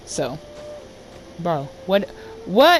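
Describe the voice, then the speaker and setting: This is a woman whose pitch swings very widely. Noticeable background noise runs underneath. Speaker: gaming YouTuber. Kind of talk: casual gameplay commentary. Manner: animated.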